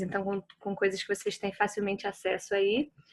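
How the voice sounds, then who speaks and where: The voice belongs to a woman. It rests at a medium pitch. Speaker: workshop facilitator on grief and art. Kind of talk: online talk introduction. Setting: video call.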